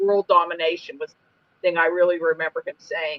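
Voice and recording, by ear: In a put-on character voice, the speaker moves at a fairly quick pace at a middle pitch.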